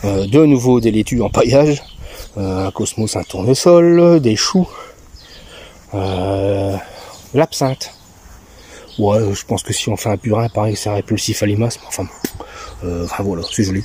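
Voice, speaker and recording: His fairly low voice has a relaxed tone and lively intonation, broken by long, frequent pauses. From Belgium. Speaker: home vegetable gardener. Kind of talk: casual garden tour to camera. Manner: relaxed, hesitant, chatty.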